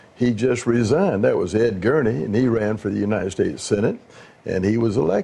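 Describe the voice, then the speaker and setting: This is a man's voice. He speaks in an American accent. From US South. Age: 80s+. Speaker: former mayor. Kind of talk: reminiscing. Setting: living room.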